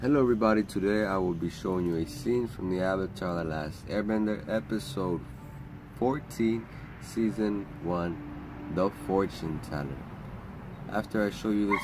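A man speaks with a very deep, low pitch and ordinary pitch variation over noticeable background noise. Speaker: vlogger. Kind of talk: casual vlog chat, episode summary. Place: garden. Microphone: phone near.

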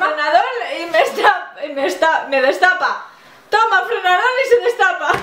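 A woman's extremely high-pitched, raised and projected voice, playful in tone, with audible room echo. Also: moderate pace. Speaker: the channel owner's sister. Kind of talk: casual banter in a challenge game. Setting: wearing headphones with loud music, speaking loudly. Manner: loud, guessing, playful. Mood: playful, laughing. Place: home room.

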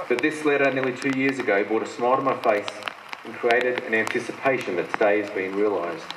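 Someone talks at a fairly quick pace with ordinary pitch variation over loud background noise. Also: man. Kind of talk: ceremonial speech. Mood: formal, proud. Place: open country. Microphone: podium.

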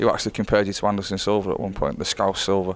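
Speaking at a very fast pace, this man has a Northern English accent. His pitch is fairly low. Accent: Northern British. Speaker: interviewer.

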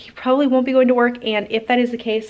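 Words tumble out at a very fast pace from a woman. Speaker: homesteader vlogger. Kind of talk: casual vlog chat. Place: garage. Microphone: phone near.

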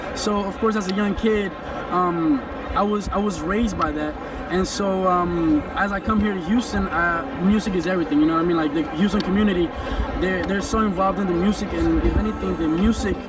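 A man speaks at a fairly quick pace with ordinary pitch variation, the sound dry with no echo but with noticeable background noise. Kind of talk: interview answer. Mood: relaxed, friendly. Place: stadium. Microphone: handheld.

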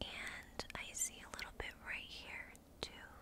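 In a whisper, a woman speaks. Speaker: ASMR creator. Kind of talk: ASMR roleplay, friend doing your makeup. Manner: soft-spoken, whispery. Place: home room. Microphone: studio mic.

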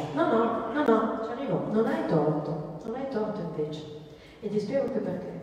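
A woman's pitch swings very widely amid strong room echo and light background noise. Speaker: dietitian doctor. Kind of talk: talk to audience, answering a question. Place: hall. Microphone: handheld.

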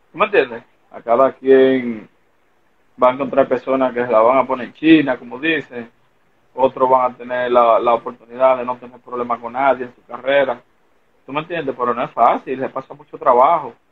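In a normal speaking voice, a man talks at a fairly quick pace and medium pitch, with fairly even intonation but big swings in loudness. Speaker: former pro baseball player. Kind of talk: casual interview.

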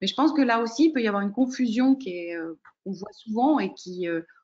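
A woman with a somewhat breathy voice speaks at a fairly slow pace with lively intonation. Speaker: program director and coach. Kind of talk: webinar moderation. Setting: video call.

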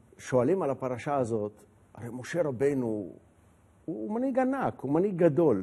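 Lively intonation and a dark, mellow tone mark this man's voice at a moderate pace. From Israel. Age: 60s. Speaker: retired general and politician; politician. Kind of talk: casual interview. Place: studio. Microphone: lapel.

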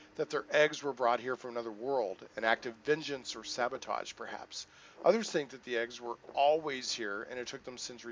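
The voice reads in a natural way.

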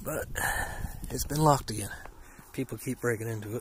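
A man talks at a medium pitch and a moderate pace, with ordinary pitch variation. Room echo is audible.

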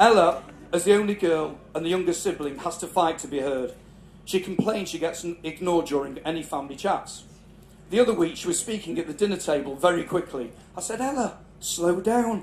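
Recorded with audible room echo and light background noise, a man with a northern English accent speaks high in pitch at a fairly quick pace, with ordinary pitch variation. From northern England, Cheshire. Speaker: father of the celebrant giving a speech. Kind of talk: family celebration speech. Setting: garden party with live audience. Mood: warm, proud, humorous. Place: tent. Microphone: handheld.

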